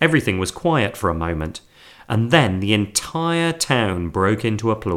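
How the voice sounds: The recording carries a natural reading voice.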